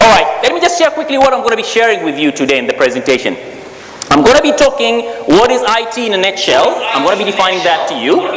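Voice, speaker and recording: In an animated tone and at a very fast pace, the speaker makes very wide pitch swings, with noticeable background noise and audible room echo. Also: man, high pitch for a man. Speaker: technology speaker. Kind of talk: presentation to live audience.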